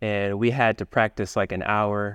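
A man with a fairly low pitch speaks at a moderate pace in monotone, flat intonation. The sound is dry and close with no echo over a quiet background. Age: young. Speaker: violinist and internet entrepreneur. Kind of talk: interview conversation.

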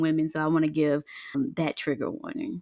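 On a very clean recording with a silent background, a woman talks at a moderate pace with an American accent. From US South, Mississippi Delta. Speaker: freedom coach and author. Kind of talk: faith-based podcast interview.

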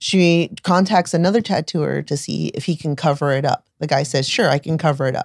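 In an ordinary speaking voice, a woman with an American accent talks at a moderate pace and fairly low pitch with ordinary pitch variation, recorded dry and close with no echo, very clean with a silent background. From US Florida. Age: 40s. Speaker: tattoo artist and shop owner. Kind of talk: casual interview chat.

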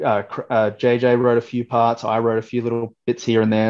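Monotone, flat intonation in an Australian accent against a quiet background. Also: man. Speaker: metalcore guitarist. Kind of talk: interview.

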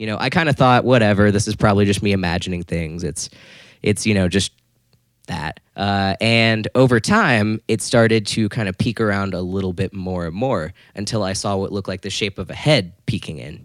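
A man speaks at a moderate pace, fairly low in pitch with ordinary pitch variation. The recording is very clean with a silent background and a dry, close sound with no echo. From Florida. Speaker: guitar accessories marketer and musician. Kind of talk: casual storytelling interview. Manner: halting, many fillers.

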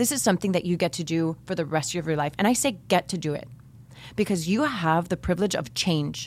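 A woman with a normal speaking voice and an American accent talks at a fairly quick pace and fairly low pitch with lively intonation, in a very clean recording with a silent background. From Miami, Florida. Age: 30s. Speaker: podcast host, former teacher. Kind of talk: interview. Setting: studio.

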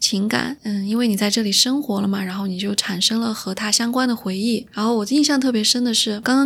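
A woman with an ordinary speaking voice, fairly high pitch, ordinary pitch variation and a fairly quick pace. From Chengdu, Sichuan. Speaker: podcast host. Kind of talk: casual chat. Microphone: new microphone.

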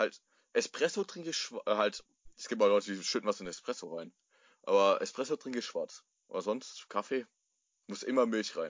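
Long pauses come often in this man's speech. Between them, his tempo is moderate. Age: 20s. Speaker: podcast co-host. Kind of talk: casual chat. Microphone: phone mic on knee, tinny.

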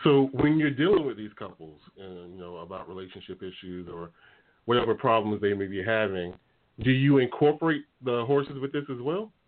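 A man talks at a moderate pace in a normal speaking voice, medium in pitch. His intonation is lively, and his loudness swings a lot. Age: 40s. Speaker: talk radio host. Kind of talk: casual chat. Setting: studio.

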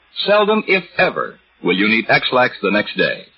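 A man talks at a moderate speed while noticeable background noise carries on behind him. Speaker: announcer. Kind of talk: scripted commercial and intro read. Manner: smooth, formal, reassuring.

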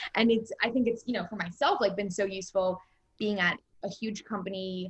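A woman speaks at a medium pitch with ordinary pitch variation and a somewhat breathy quality. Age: 20s. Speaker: film executive. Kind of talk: interview.

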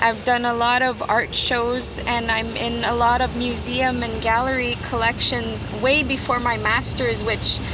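The clip carries noticeable background noise along with audible room echo. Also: woman. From Quebec, Canada (Kitigan Zibi, Algonquin community). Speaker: artist. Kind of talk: interview.

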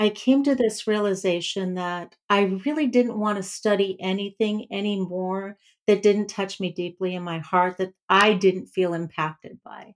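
A woman's plain, everyday voice at medium pitch and a fairly slow pace. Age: 60s. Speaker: clinical psychologist. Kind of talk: casual interview.

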